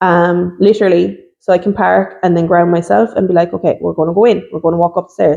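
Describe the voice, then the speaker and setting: Barely pausing, a woman talks at a very fast pace in a fairly low, dark, mellow voice with vocal fry and ordinary pitch variation. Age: 30s. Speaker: podcast guest sharing mental health story. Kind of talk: casual chat. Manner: loud; bubbly.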